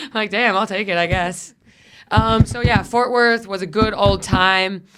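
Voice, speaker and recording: Noticeable background noise sits under a woman speaking at a medium pitch with fairly even intonation. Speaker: comedian and podcast host. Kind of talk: casual chat. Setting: studio. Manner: fast.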